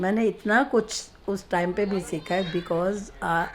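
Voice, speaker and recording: A woman's medium-pitched voice with ordinary pitch variation amid noticeable background noise. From Punjab, Amritsar. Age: 80s+. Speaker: elderly interviewee telling her life story. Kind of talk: interview, personal reminiscence.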